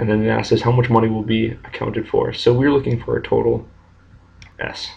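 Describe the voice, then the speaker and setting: A man speaks quietly. His pace is fairly quick. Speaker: math teacher. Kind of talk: math lesson screencast narration. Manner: monotone, quiet.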